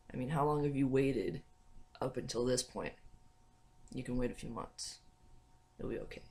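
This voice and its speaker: Somewhat breathy and with an American accent, a man speaks in fairly even intonation, leaving long, frequent pauses. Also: medium pitch for a man, moderate pace. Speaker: vlogger. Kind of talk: casual vlog talk.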